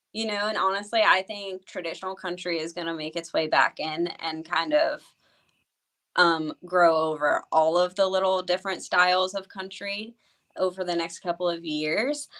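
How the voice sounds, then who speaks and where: Talking at a moderate pace with an American accent, a woman has a fairly low pitch and ordinary pitch variation. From US Midwest, Youngstown, Ohio. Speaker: country singer-songwriter. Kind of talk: interview.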